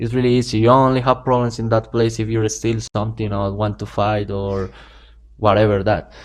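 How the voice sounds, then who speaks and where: Speaking at a fairly quick pace with a Spanish accent, this voice has a monotone, flat intonation over a quiet background. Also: man, fairly low pitch for a man. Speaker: drug dealer. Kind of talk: interview. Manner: halting.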